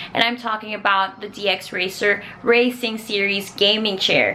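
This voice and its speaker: Noticeable background noise sits behind a woman speaking. Her pitch is fairly high and her pace moderate. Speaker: YouTuber and streamer. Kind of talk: casual unboxing vlog. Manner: animated.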